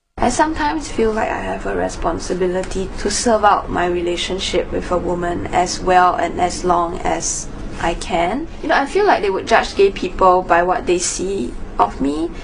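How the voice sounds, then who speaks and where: A woman's moderately paced speech amid noticeable background noise and audible room echo. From Singapore. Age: 20s. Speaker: interviewee. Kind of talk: documentary interview.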